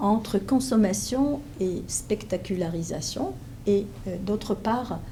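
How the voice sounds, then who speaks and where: Very slowly and somewhat breathily, a woman with a Hebrew accent speaks with lively intonation amid audible room echo. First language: Hebrew (speaking French). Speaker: professor. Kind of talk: lecture. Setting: conference room with audience. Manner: hesitant, many fillers.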